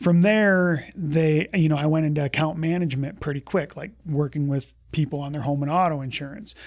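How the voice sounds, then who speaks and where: His voice a normal speaking voice with a fairly high pitch, a man talks at a moderate pace. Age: 40s. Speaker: health insurance broker. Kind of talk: interview.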